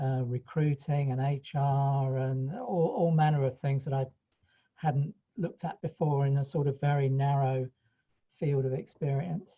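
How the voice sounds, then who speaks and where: This voice has a dark, mellow tone, sounds somewhat breathy, and keeps a fairly even intonation. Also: man, fairly high pitch for a man, fairly slow pace. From East Anglia, England (Ipswich, Suffolk). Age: 60s. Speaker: franchisee accountant. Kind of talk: interview. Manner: halting, with many restarts.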